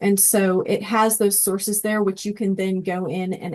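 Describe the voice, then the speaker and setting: The speaker has a normal speaking voice and keeps a moderate pace. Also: woman. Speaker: education technology trainer. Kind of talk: tutorial presentation.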